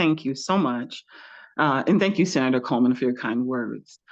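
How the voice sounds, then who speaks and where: A woman speaks with a slight Southern US accent and lively intonation. The background is quiet. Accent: slight Southern twang. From Louisiana. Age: 40s. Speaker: researcher. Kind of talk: storytelling. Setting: video call from home.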